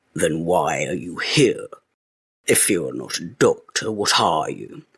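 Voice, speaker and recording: Growling, a man does a put-on character voice. He keeps a fairly slow pace. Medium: read story. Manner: masterful, curt, dictatorial.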